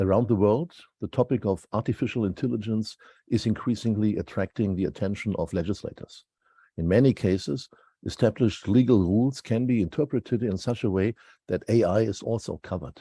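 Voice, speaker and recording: Speaking with a German accent, a man talks at a fairly quick pace in a fairly low pitch, his tone dark and mellow with ordinary pitch variation, recorded dry and close with no echo against a quiet background. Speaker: law professor. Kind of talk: prepared lecture.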